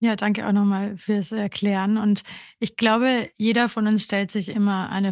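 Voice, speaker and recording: The woman's medium-pitched voice keeps a fairly even intonation. She talks at a moderate pace. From Austria, Burgenland. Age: 30s. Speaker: podcast co-host, grief counselor. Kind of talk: casual chat.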